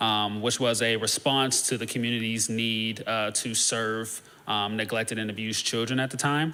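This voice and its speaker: A man's monotone, flat delivery at a moderate pace with hardly any pauses, plus audible room echo and noticeable background noise. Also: medium pitch for a man. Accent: American. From northeast Ohio, US Midwest. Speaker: social services worker. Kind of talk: presentation to a church congregation. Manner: halting, many filler words.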